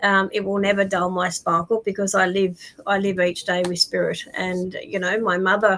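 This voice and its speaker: Noticeable background noise surrounds a woman speaking at a medium pitch. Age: 60s. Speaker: psychic medium. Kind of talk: live stream interview. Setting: live stream. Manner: halting, many fillers.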